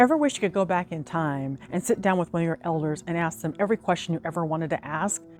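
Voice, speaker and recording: Music plays behind a woman with a fairly low pitch who talks at a very fast pace with hardly any pauses. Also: ordinary pitch variation. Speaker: YouTube host. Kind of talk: video intro narration.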